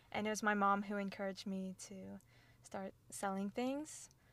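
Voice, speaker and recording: This woman has a normal speaking voice at a medium pitch. Her pace is moderate. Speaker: student and clothing brand founder. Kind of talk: casual interview.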